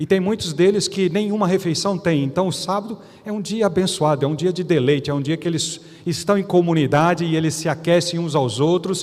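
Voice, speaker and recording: Noticeable background noise sits under the voice. The delivery is fairly quick, with ordinary pitch variation. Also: man, high pitch for a man. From Brazil. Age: 60s. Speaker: pastor. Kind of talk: sermon. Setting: church.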